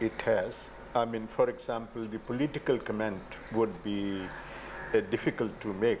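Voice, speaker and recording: A man talks at a moderate pace with fairly even intonation, leaving long, frequent pauses. Noticeable background noise runs under his voice. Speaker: documentary filmmaker. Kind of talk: interview. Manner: halting. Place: home room. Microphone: old recording.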